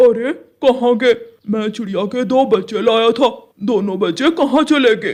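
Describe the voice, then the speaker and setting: This man performs a cartoonish character voice. His pitch is extremely high. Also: moderate pace. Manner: wheedling, deceitful.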